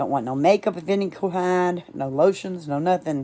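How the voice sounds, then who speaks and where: With a fairly low pitch and lively intonation, a woman speaks in an ordinary speaking voice on a very clean recording with a silent background. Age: 60s. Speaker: beauty vlogger. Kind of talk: casual chat. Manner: casual, informal.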